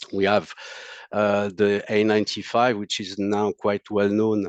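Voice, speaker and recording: In a French accent, the speaker talks at a fairly slow pace with a dry, close sound and no echo. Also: man. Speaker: monitor technical support specialist. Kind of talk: technical presentation. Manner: halting, many fillers.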